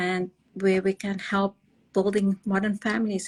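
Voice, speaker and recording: At a moderate pace, a woman speaks at a medium pitch in a monotone, flat way, somewhat breathy, with a dry, close sound and no echo. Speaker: fertility clinic director. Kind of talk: live-stream interview. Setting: live stream video call.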